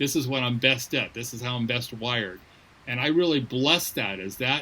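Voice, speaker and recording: In an ordinary speaking voice, a man of medium pitch talks at a moderate pace with ordinary pitch variation. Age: 60s. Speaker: missions leader. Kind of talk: interview.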